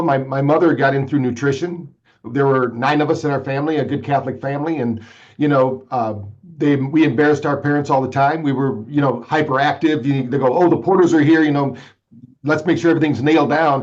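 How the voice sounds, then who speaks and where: At a fairly quick pace, a man with a normal speaking voice talks at a fairly high pitch and with fairly even intonation. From Michigan. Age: 60s. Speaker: brain fitness entrepreneur. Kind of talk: podcast interview.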